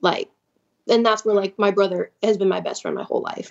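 With an American accent, a woman talks at a very fast pace in a medium pitch, keeping her intonation fairly even. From Chicago. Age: 20s. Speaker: caller. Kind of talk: personal story on a call-in show.

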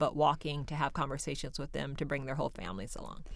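In a very clean recording with a silent background, a woman speaks with an American accent at a very deep, low pitch. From Seattle, Central District. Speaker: nonprofit co-founder. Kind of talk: interview. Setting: studio.

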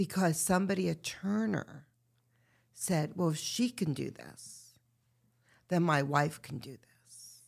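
A woman with vocal fry and a very deep, low pitch speaks at a very slow pace, with long, frequent pauses and ordinary pitch variation. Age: 50s. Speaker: retreat founder and women's activist. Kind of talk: casual chat.

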